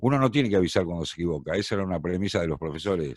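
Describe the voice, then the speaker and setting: Very fast and very deep, a man's voice shows vocal fry and lively intonation in a very clean recording with a silent background. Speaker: radio and TV announcer, tango singer. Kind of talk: casual interview answer, anecdotes.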